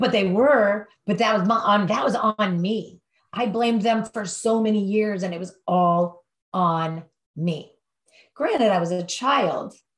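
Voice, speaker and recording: A woman with a medium pitch and a somewhat breathy voice speaks at a fairly slow pace with ordinary pitch variation. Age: 50s. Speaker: addiction treatment counselor. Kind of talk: interview. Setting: podcast interview.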